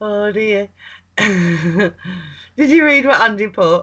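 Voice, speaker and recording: With a strong Lancashire accent, a woman speaks at a medium pitch with lively intonation. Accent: thick Lancashire. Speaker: livestream co-host. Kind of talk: livestream chat.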